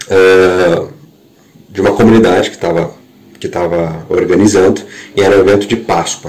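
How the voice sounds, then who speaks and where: Speaking at a moderate pace with a fairly low pitch and ordinary pitch variation, the man is heard over noticeable background noise with audible room echo. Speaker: worship leader. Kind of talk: podcast monologue. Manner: halting.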